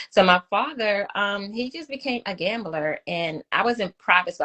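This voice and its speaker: A woman in a Brooklyn accent, her intonation lively. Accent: Brooklyn New York. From New York City (Brooklyn). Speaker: domestic violence survivor, advocate. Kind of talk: testimony. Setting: live video stream interview.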